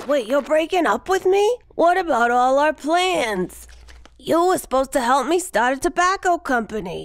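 Using a cartoonish character voice, the speaker moves at a moderate pace with very wide pitch swings and very even loudness. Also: woman, high pitch for a woman. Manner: breezy enabler, then offended.

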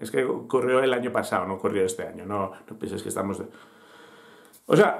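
A man speaks at a fairly quick pace with vocal fry. His pitch is fairly low, with ordinary variation.

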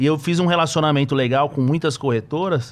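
This is an unremarkable speaking voice from a man. He keeps a moderate pace, and his pitch varies in an ordinary way. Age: 30s. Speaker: trader and investment analyst; investment analyst. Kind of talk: casual interview chat. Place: studio. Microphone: studio mic.

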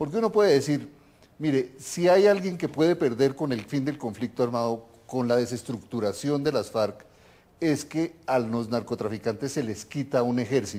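A man with a Colombian accent speaks in a dark, mellow tone. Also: medium pitch for a man, lively intonation, moderate pace. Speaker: TV host, political scientist; TV program host. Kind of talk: TV interview. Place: home room. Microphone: lapel.

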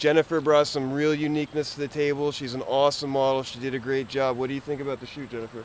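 A man speaks at a very fast pace with monotone, flat intonation. The sound is dry with no echo, over light background noise. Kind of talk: casual vlog chat. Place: street. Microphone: phone near.

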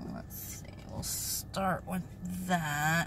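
Light background noise is present. Over it, a woman talks. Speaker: vlogger. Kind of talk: casual vlog chat. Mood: relaxed, chatty. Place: car. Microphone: phone near.

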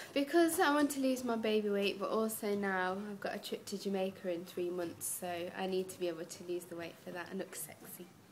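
With an East Midlands accent, a woman talks at a fairly quick pace with hardly any pauses. Her pitch varies normally over light background noise. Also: big swings in loudness. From Derby, England; England. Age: 20s. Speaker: young mother on a diet. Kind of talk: interview answers. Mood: cheerful, upbeat. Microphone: webcam.

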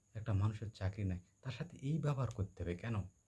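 Somewhat breathy, a man with a dark, mellow tone and medium pitch speaks with lively intonation. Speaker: vlogger. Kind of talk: personal storytelling monologue. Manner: halting, with many pauses and fillers.

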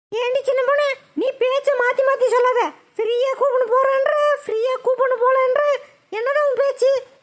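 In a cartoonish character voice, a woman speaks at an extremely high pitch and a moderate pace, her intonation flat and monotone and her loudness very even. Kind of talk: Tamil village colloquial. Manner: loud, scolding.

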